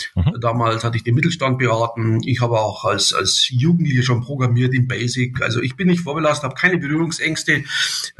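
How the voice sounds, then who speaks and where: Noticeable background noise runs under a man's medium-pitched voice. He talks at a fairly quick pace with hardly any pauses and ordinary pitch variation. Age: 60s. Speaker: company director. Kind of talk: podcast interview.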